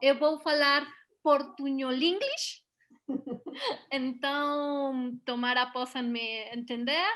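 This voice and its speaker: A woman's high-pitched, bright, sharp voice in a Mexican accent, very slow and fairly even, with long, frequent pauses. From Mexico, Puebla. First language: Spanish (speaking Portuguese). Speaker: voice actress and dubbing director. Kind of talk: interview. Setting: video call. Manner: halting.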